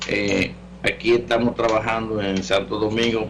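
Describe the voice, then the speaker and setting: Amid audible room echo, a man with a fairly low pitch speaks at a fairly slow pace with lively intonation. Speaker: natural medicine doctor, radio call-in host. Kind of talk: call-in health show with announcements. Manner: casual, conversational.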